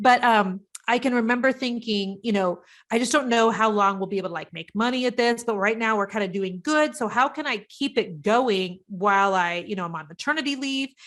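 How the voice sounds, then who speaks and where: In a Midwestern US accent, a woman talks with an animated tone at a fairly high pitch and a fairly quick pace. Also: ordinary pitch variation, very clean recording, silent background. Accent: US Midwest. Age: 50s. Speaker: business coach. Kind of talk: interview. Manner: fast.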